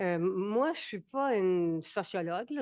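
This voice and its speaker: A woman speaks at a very slow pace with lively intonation, in a dry, close sound with no echo and a quiet background. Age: 70s. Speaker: retired senior panelist. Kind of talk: panel discussion. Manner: halting, many repetitions.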